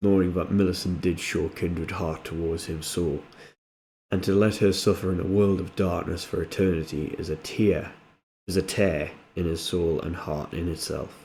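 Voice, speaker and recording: A man speaks with a North East England accent at a very deep, low pitch and a moderate pace. His tone is dark and mellow, and his intonation is monotone and flat. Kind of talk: fantasy story reading. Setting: home recording, modest audio quality.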